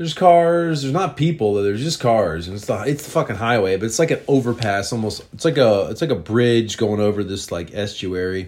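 Speaking at a moderate pace with lively intonation, a man uses a plain, everyday voice at a medium pitch. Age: 40s. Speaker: podcaster telling personal stories. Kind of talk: storytelling monologue. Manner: casual, rambling with fillers.

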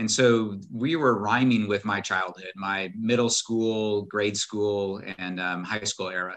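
This man has an American accent and a fairly low pitch. He speaks at a very slow pace with fairly even intonation. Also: quiet background. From US Midwest, southern Illinois. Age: 50s. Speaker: wealth strategist and navy veteran. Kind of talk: interview conversation.

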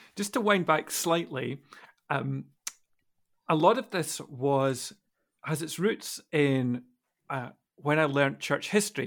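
Pausing long and often, a man speaks very slowly at a fairly high pitch with ordinary pitch variation. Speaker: podcast co-host. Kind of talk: casual conversation.

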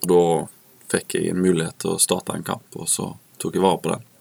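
A man's very deep, low voice in a monotone, flat delivery at a moderate pace, dry and close with no echo. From Norway, Haugesund. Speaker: professional footballer. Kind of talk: interview. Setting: studio.

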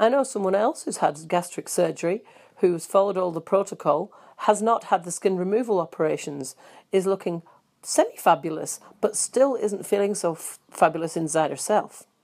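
A woman with a New Zealand accent at medium pitch, with ordinary pitch variation and a moderate pace. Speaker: fitness studio host and instructor. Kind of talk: podcast presenting health and fitness news and advice.

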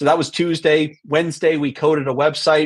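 This man has an unremarkable speaking voice, fairly high in pitch. He talks at a moderate pace with fairly even intonation. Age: 40s. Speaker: entrepreneur. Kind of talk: casual interview.

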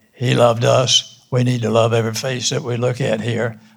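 Somewhat breathy, a man speaks at medium pitch and a moderate pace. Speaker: church member panelist. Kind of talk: panel discussion. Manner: halting.

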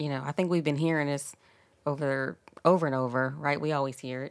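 With an American accent, a woman speaks at a very fast pace in a very deep, low pitch and fairly even intonation, in a very clean recording with a silent background. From Philadelphia, Germantown. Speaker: church ministry leader. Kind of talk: casual chat.

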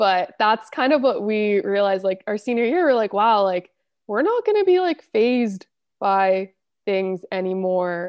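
A woman with an American accent uses an ordinary speaking voice at a medium pitch and a moderate pace. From Los Angeles, US. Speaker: embedded systems engineer. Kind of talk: casual interview.

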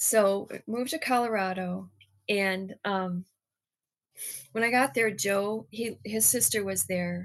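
A woman's medium-pitched voice with an American accent, ordinary pitch variation, a very slow pace and long, frequent pauses, over a quiet background. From Michigan. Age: 50s. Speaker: guest giving testimony. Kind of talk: testimony.

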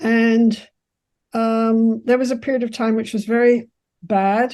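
A woman with a fairly high, dark, mellow voice speaks in a flat monotone against a quiet background. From England, London. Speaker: psychologist, therapy founder and professor. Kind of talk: interview, storytelling about her life.

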